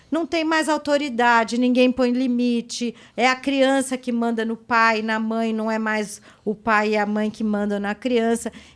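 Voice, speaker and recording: Heard on a very clean recording with a silent background, a woman with an ordinary speaking voice talks fairly slowly and with hardly any pauses, her pitch fairly high and her intonation fairly even. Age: 60s. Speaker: psychoanalyst. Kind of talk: podcast interview.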